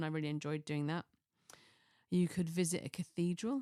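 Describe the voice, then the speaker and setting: The speaker moves at a fairly quick pace in a relaxed tone. The sound is dry and close with no echo, in a very clean recording with a silent background. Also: woman. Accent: Cheshire. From northern England, Chester. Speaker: podcast host. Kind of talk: casual solo podcast chat.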